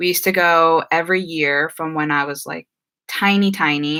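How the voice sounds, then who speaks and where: Against a silent background on a very clean recording, a woman with a slight New Jersey accent speaks at a fairly low pitch in a bright, sharp tone with fairly even intonation. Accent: American, slight New Jersey. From New Jersey, US (Filipino family). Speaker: YouTuber. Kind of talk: live stream Q&A. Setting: live stream. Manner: casual, many fillers.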